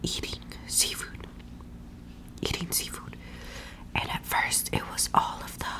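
A woman whispers at a very slow pace. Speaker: ASMR creator. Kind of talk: ASMR eating ramble. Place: home room. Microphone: studio mic.

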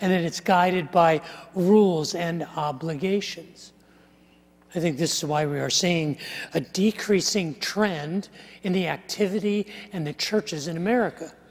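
His voice is high-pitched for a man, moving at a moderate pace with ordinary pitch variation. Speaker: preacher. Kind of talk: sermon. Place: church. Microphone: lapel.

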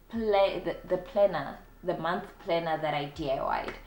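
In a South African accent, a woman speaks with vocal fry and audible room echo. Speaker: DIY home decor YouTuber. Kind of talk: casual talk to camera. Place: home room.

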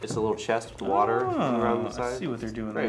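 Someone is reading aloud in a natural voice, with fairly even intonation.

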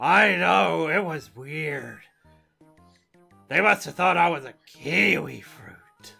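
A raspy, put-on character voice speaks at a middle pitch and a very slow pace, with long, frequent pauses. Faint music plays in the background. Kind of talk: comic abridged parody acting. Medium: fan dub.

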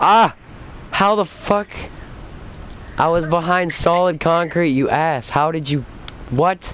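Pausing long and often, a man with a high pitch talks at a fairly slow pace with ordinary pitch variation amid noticeable background noise. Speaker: gaming youtuber. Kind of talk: casual chat. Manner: animated.

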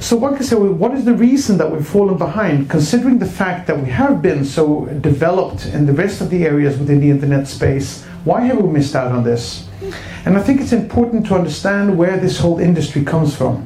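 A man with a Swedish accent talks at a fairly quick pace in a high voice with very wide pitch swings. There is audible room echo and light background noise. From Sweden. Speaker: internet entrepreneur; speaker. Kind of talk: keynote speech. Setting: stage with audience. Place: stage. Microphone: handheld.

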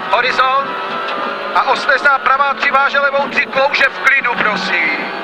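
The pace of speech is very slow. Loud background noise runs underneath. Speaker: rally co-driver. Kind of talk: rally co-driver pace notes read aloud in the car. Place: car. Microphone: headset.

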